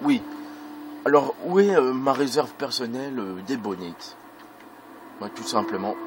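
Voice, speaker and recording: Amid noticeable background noise, a man of medium pitch talks fairly slowly, with long, frequent pauses, very wide pitch swings and big swings in loudness. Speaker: gaming video creator. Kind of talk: let's play commentary. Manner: hesitant, many fillers.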